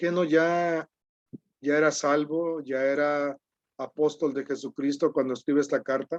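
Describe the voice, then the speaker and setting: A man with a fairly high pitch speaks fairly slowly and with fairly even intonation, in a dry, close sound with no echo. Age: 60s. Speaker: preacher. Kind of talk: sermon.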